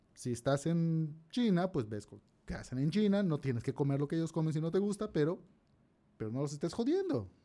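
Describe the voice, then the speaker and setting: A man speaks at a fairly high pitch in a dark, mellow tone. His intonation is lively and his pace fairly quick. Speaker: podcast co-host. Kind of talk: casual chat.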